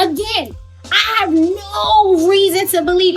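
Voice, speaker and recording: A woman's raised, projected voice with a New York accent. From Brooklyn, New York. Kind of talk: casual storytelling to camera. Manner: animated, upbeat.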